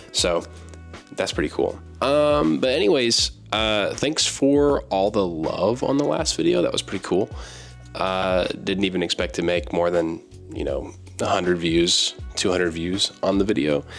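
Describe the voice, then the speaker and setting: Over music in the background, a man with a fairly low pitch speaks at a moderate pace with very wide pitch swings. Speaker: book YouTuber. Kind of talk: casual talk to camera.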